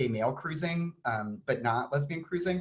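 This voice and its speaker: Somewhat breathy, a man with an American accent talks with lively intonation. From Texas (Austin). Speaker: author and design historian. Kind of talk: conference talk. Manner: many fillers (um).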